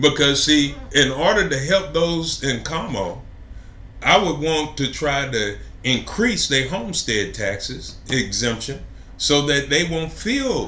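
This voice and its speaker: Speaking with an American accent, a man uses a fairly high pitch with ordinary variation. He goes at a fairly slow pace, and audible room echo surrounds him. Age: 60s. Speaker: city council candidate. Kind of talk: interview. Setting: live stream interview.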